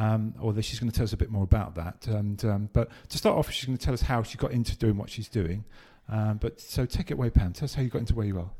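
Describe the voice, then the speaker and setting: Somewhat breathy, with a dark, mellow tone and a fairly low pitch, a man talks at a very fast pace with ordinary pitch variation. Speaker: podcast host. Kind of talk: casual interview. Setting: on location at guest's office, in person. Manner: chatty, hesitant with fillers.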